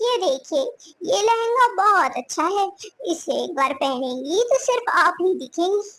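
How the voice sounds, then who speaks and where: Using a cartoonish character voice, a woman speaks at a fairly slow pace with an extremely high pitch. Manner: eager, salesy.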